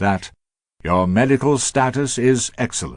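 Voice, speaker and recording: Lively intonation marks this man's British accent. The background stays quiet. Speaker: broadcaster. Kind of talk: radio letter broadcast. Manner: elegant narration.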